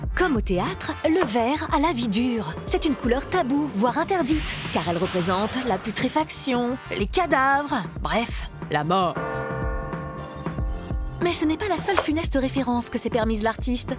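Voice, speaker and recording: Music plays in the background as the speaker uses a playful tone with very wide pitch swings. The pace is fairly slow, the pauses long and frequent, and the loudness very even. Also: woman, high pitch for a woman. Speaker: voice-over actress. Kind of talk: playful educational web-series narration. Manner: lively, playful, humorous.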